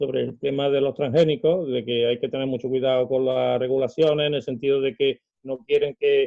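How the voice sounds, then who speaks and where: The speaker has a plain, everyday voice. Delivery is at a moderate pace with fairly even intonation. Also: man. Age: 60s. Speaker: celiac association volunteer. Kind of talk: interview answer.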